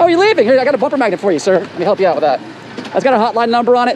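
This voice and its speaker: The recording is dry with no echo and has noticeable background noise. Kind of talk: confrontational comedic street chat. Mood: mock polite, sarcastic. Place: street. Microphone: phone near.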